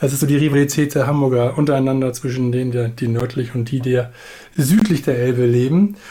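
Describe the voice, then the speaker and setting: Delivered at a fairly quick pace, this is an unremarkable speaking voice with ordinary pitch variation. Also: man, medium pitch for a man. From Hamburg. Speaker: podcast co-host. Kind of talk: casual chat. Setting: remote call.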